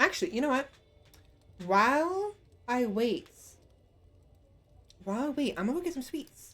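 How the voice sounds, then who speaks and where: A woman speaks at a high pitch with very wide pitch swings and long, frequent pauses. Music plays in the background. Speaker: VTuber streamer. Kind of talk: casual gameplay livestream. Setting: live stream from home. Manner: fast.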